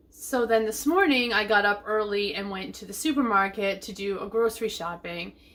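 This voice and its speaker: This woman's moderately paced speech comes with noticeable background noise. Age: 50s. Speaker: lifestyle vlogger. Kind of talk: casual vlog chat. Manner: chatty.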